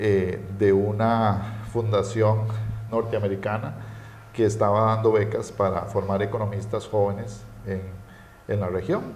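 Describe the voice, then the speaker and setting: A man speaks in a fairly low, somewhat breathy voice with monotone, flat intonation at a fairly slow pace. Long, frequent pauses break his speech, and there is audible room echo. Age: 40s. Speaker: economist. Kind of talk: interview. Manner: hesitant, many fillers.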